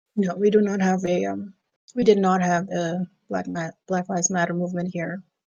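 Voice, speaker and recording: A woman in a Caribbean accent, fairly low in pitch, at a moderate pace with monotone, flat intonation. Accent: Caribbean accent when speaking Dutch. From Aruba. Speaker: podcast guest. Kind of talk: casual interview chat.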